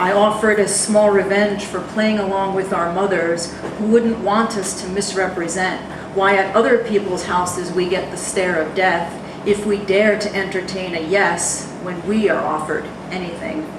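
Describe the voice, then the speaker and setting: A woman with an American accent at a moderate pace, monotone and flat in intonation, with noticeable background noise and audible room echo. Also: medium pitch for a woman. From New Jersey. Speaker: poet. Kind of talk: poetry reading. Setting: stage with audience.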